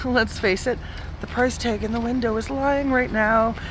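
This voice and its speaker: The woman's pitch is fairly high, and the sound is dry with no echo. Background noise is noticeable. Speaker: car salesperson. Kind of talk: sales pitch, upbeat walkaround video pitch. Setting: dealership walkaround video. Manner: animated. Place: street. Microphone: phone near.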